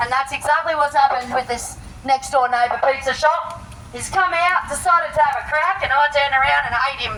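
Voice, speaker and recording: A loud woman with an Australian accent, high-pitched, at a fairly quick pace with ordinary pitch variation, over noticeable background noise. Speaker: protester. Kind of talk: street protest confrontation. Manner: animated.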